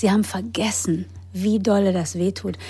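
The recording is very clean, its background silent. The speaker is a woman. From grew up in England, Germany and the US. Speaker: actress, author and yoga teacher. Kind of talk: personal testimony in interview. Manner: hesitant with fillers.

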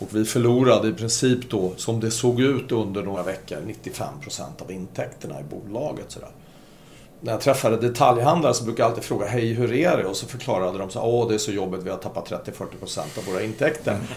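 Fairly quick, medium-pitched male speech with ordinary pitch variation and audible echo from the room. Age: 60s. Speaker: shopping-centre property executive, former retailer. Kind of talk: podcast interview.

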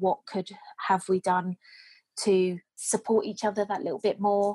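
A woman speaks with a British accent in a dry, close sound with no echo. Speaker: care home manager. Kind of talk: interview. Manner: upbeat.

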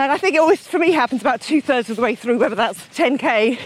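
A woman talking at a very fast pace with lively intonation, against noticeable background noise. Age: 40s. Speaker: endurance runner. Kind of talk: casual interview. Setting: outdoors.

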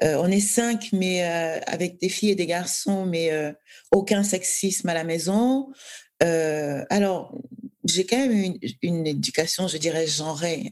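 At a very slow pace, a woman with a medium pitch speaks with ordinary pitch variation. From Cameroon, Douala. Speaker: novelist. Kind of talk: interview conversation.

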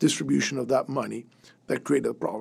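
With vocal fry and lively intonation, this man talks in a fairly high pitch. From Venezuela. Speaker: business consultant, former oil company board member. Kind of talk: roundtable discussion.

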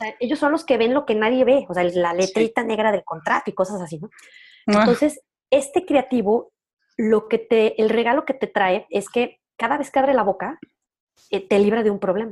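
Lively in intonation, a woman with an ordinary speaking voice talks at a fairly high pitch and moderate pace. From Mexico, León, Guanajuato. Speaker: entrepreneur. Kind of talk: casual interview conversation.

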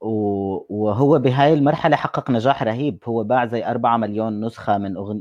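Against a quiet background, a man talks at a moderate pace in a normal speaking voice with ordinary pitch variation and hardly any pauses. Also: medium pitch for a man. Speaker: podcast co-host. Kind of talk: casual chat about music.

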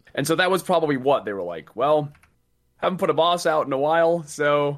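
Here is a man with an unremarkable speaking voice, pitched fairly high. He talks at a fairly quick pace with lively intonation. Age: 20s. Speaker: gaming content creator. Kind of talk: casual chat.

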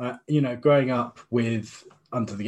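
Speaking with a British accent, a man keeps a medium pitch and ordinary pitch variation. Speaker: interview guest. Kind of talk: interview.

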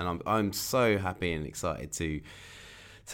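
Over a very clean recording with a silent background, a man speaks in a very deep, low pitch with vocal fry and lively intonation. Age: 40s. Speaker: artist and podcast host. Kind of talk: solo podcast monologue. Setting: home bedroom studio.

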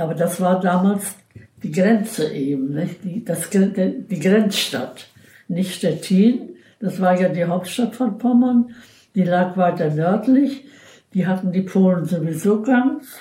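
This somewhat breathy voice has a dark, mellow tone. It moves at a very slow pace with ordinary pitch variation. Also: woman, medium pitch for a woman. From Pomerania, near Kolberg. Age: 90s. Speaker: retired nurse. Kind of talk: life-story interview. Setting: her room in a care home.

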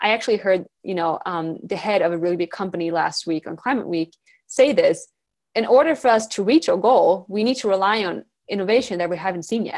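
A woman speaks with a Swedish accent at a medium pitch. Her pace is fairly quick and her intonation lively. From Sweden. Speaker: environmental activist and speaker. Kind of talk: podcast interview.

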